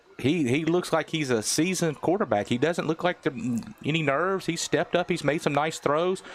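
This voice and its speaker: Noticeable background noise sits behind a man with a fairly high pitch who talks fairly quickly, keeping very even loudness and ordinary pitch variation. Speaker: football play-by-play commentator. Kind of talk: live sports commentary. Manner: stutters, bumbles over words; animated.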